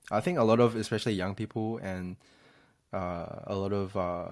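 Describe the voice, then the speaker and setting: On a very clean recording with a silent background, a man speaks in a plain, everyday voice, fairly low in pitch, at a fairly quick pace with ordinary pitch variation. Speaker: podcast host. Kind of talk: casual podcast chat.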